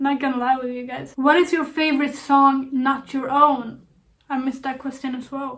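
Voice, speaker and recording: In a Swedish accent, a woman speaks at a moderate pace with a high pitch and monotone, flat intonation. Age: 20s. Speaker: YouTuber. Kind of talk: casual Q&A vlog. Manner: calm.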